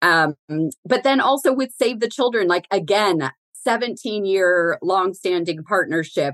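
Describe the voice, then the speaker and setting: Dry and close with no echo, a woman speaks with an unremarkable speaking voice. Her pace is fairly slow and her intonation lively. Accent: American. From Southern California, Pasadena area. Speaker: corporate philanthropy executive. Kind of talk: casual interview.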